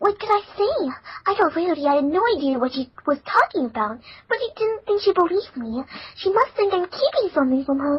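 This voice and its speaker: A woman's put-on character voice, extremely high-pitched with very wide pitch swings, at a fairly quick pace. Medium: read story.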